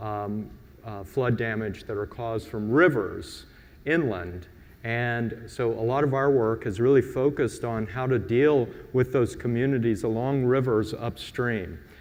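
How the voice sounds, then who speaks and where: In a room with audible echo, a man speaks at a fairly slow pace with a medium pitch and ordinary pitch variation. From US Gulf Coast. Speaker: designer, conference panelist. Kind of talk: conference presentation.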